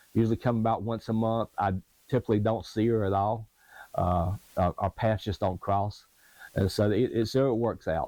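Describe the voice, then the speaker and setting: This man has a dark, mellow tone and a fairly low pitch, speaking at a moderate pace with fairly even intonation. The recording is very clean with a silent background and a dry, close sound with no echo. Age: 60s. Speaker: retired sailboat refit vlogger. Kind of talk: personal video diary. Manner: halting, many fillers.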